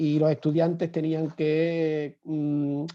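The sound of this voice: A man speaks slowly in a monotone, flat intonation. His pitch is fairly high.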